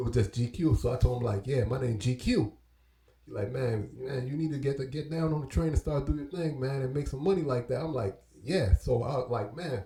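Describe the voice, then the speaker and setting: A man with an American accent talks at a fairly quick pace in a medium pitch with ordinary pitch variation, with noticeable background noise behind him. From Brooklyn, New York and Belize. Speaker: hip-hop artist and DJ. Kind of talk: casual interview storytelling.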